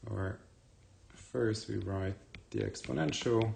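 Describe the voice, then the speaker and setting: A man's very deep, low voice, somewhat breathy, at a very slow pace. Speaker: university math professor. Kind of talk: lecture.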